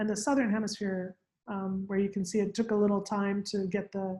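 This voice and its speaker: A somewhat breathy woman's voice, fairly high in pitch. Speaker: scientist presenting on radiocarbon. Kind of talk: lecture.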